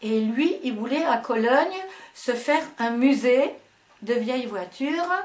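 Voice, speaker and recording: Speech comes at a very slow pace with lively intonation, and audible echo fills the room. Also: woman. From Germany, Ruhr region. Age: 70s. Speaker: dance and fitness teacher. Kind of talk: interview. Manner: halting.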